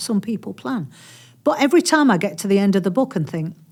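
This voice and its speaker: At a very fast pace, a woman with a somewhat breathy, medium-pitched voice makes very wide pitch swings on a very clean recording with a silent background. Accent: Yorkshire. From Yorkshire, Barnsley area. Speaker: author. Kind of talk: podcast interview. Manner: animated.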